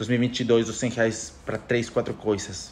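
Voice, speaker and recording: A man speaks at a moderate pace with a Spanish accent, his pitch medium. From Ecuador. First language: Spanish (speaking Portuguese). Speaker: economist podcaster. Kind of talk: casual monologue podcast. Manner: halting, self-correcting.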